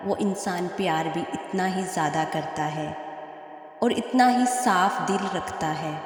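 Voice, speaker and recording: Noticeable background noise sits behind a woman speaking at a medium pitch with ordinary pitch variation. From Pakistan. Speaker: voice-over artist. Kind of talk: religious quotes narration.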